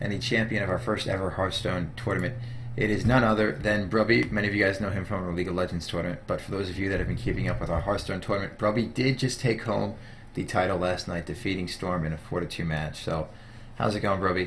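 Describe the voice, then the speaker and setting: Lively in intonation, a man speaks at a very fast pace. Noticeable background noise and audible room echo come through. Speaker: gaming interviewer. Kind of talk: casual interview.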